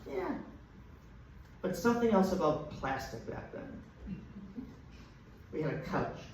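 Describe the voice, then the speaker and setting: The speech moves at a fairly slow pace with lively intonation and long, frequent pauses. Audible room echo and noticeable background noise are present. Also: man, high pitch for a man. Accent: American. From Boston, Massachusetts (Dorchester). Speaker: comedian. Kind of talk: stand-up. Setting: stage with audience.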